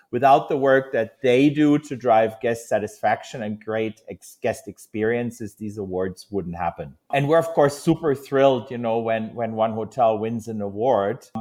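In a German accent, a man of medium pitch speaks at a moderate pace with ordinary pitch variation and hardly any pauses. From Germany. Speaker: hotel industry executive. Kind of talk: interview.

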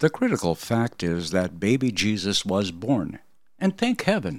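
The recording is very clean, with a silent background. A man with vocal fry talks at a moderate pace, his pitch swinging very widely. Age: 70s. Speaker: podcast host. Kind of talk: political commentary monologue.

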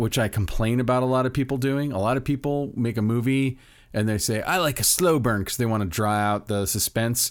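A man speaks in a medium pitch with ordinary pitch variation. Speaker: podcast host. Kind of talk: casual chat. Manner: animated.

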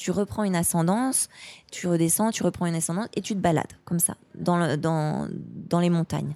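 A woman with a dark, mellow tone and fairly low pitch speaks at a fairly quick pace with ordinary pitch variation. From France, Haute-Savoie. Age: 30s. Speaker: outdoor sports enthusiast. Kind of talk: casual interview.

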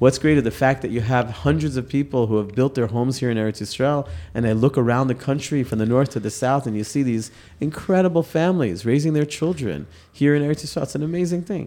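A man in a New York accent talks at a very fast pace. His voice has a dark, mellow tone, a medium pitch and ordinary pitch variation. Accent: New York American. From New York (Queens). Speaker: yeshiva head and rabbi. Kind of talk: interview.

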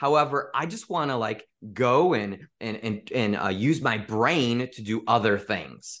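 A man with an American accent, a plain, everyday voice, medium pitch and ordinary pitch variation, fairly slow delivery, quiet background. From US Midwest, Chicago area. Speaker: sales mentor and speaker. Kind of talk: podcast interview.

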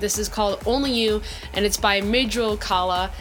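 A woman's bubbly, enthusiastic, fairly high voice at a fairly quick pace over background music. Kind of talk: radio DJ patter between tracks, upbeat show intros and song shout-outs. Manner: bubbly, enthusiastic, chatty, gushing about tracks and artists; upbeat catchphrase delivery, polished and repetitive sign-offs.

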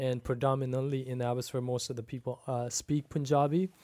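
Fairly high-pitched, a man speaks at a fairly quick pace with a slight Pakistani accent. His intonation stays fairly even. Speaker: pastor. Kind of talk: casual chat.

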